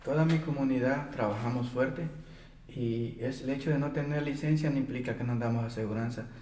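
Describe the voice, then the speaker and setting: Very fast speech with fairly even intonation and audible room echo. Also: man, medium pitch for a man. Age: 30s. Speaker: day laborer organizer. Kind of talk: interview testimony.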